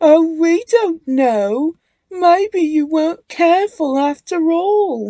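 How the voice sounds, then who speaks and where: A woman speaks in a put-on character voice pitched extremely high. Her pace is very slow. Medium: read story. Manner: chuckling, mischievous.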